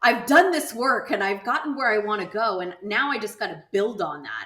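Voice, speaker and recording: A woman's ordinary speaking voice, fairly high in pitch, with an American accent, lively intonation and a moderate pace. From Southern California. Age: 40s. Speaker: insurance entrepreneur and nonprofit founder. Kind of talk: podcast interview. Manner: casual, with many fillers.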